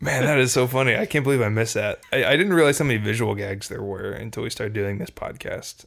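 A man at a medium pitch with an American accent, lively intonation, a very fast pace and hardly any pauses. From Texas. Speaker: podcast co-host. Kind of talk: casual chat. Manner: animated, laughing often.

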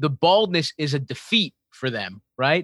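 With an American accent, a man talks in a fairly high, bright and sharp voice, the sound dry and close with no echo. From Baltimore, US. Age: 30s. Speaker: comedian. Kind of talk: casual chat.

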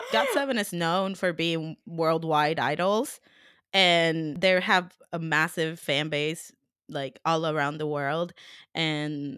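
A woman with a Spanish accent has a bright, sharp tone and ordinary pitch variation. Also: very clean recording, silent background. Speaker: podcast co-host and interviewer. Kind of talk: casual chat.

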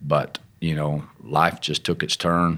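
On a very clean recording with a silent background, a man with an Arkansas accent speaks in a very deep, low pitch. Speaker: missionary. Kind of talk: interview testimony.

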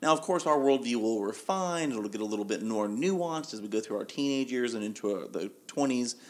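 A man's plain, everyday voice at medium pitch, with lively intonation and moderate pace, in a very clean recording with a silent background. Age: 30s. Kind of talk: casual chat.

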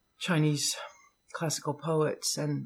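A woman with an American accent, speaking at a fairly slow pace. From US and Europe, military family. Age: 60s. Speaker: poet. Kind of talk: casual interview with poetry readings.

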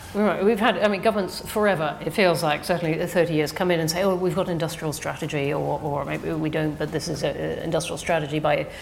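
A woman with a very deep, low voice speaks at a very fast pace with fairly even intonation. Noticeable background noise is present. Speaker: think tank director, interviewer. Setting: stage with audience.

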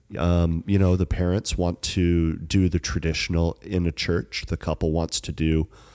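A man with a very deep, low voice speaks at a moderate pace. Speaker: wedding photographer. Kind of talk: casual chat. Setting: studio. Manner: quiet.

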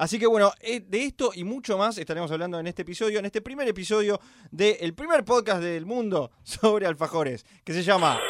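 Talking at a fairly quick pace with hardly any pauses, a man with a high-pitched voice uses lively intonation in a dry, close sound with no echo. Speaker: podcast host. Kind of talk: casual chat. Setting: studio.

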